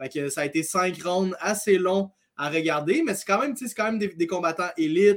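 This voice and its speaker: A man with a Quebec accent speaks at a high pitch. His pace is moderate, with ordinary pitch variation. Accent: Québécois French. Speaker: MMA analyst. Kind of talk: casual chat.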